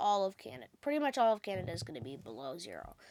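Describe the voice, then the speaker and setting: A woman talks at a medium pitch with vocal fry. The recording is very clean and the background silent. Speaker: weather channel host. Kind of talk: weather forecast commentary. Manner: casual, with fillers.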